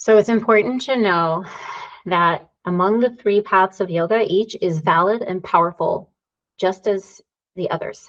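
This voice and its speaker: A woman at a fairly slow pace, medium pitch and ordinary pitch variation, a plain, everyday voice. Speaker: yoga teacher and therapist. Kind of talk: lecture.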